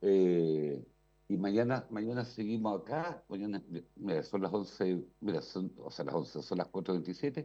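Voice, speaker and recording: A man with a fairly low pitch and a dark, mellow tone speaks here. His pace is moderate and his intonation lively. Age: 60s. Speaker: radio commentator. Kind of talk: casual chat.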